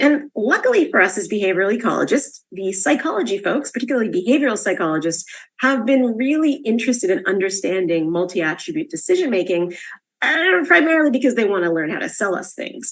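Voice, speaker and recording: A woman with a fairly high pitch talks at a very fast pace, her voice making very wide pitch swings. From Canada. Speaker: scientist. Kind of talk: lecture. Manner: casual, filler-heavy.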